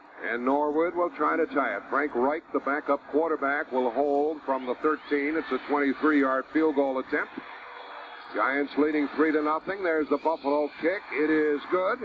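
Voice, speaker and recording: A man's fairly high voice with very even loudness, fairly even intonation and a moderate pace, with noticeable background noise. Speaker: radio play-by-play announcer. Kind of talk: live sports radio play-by-play.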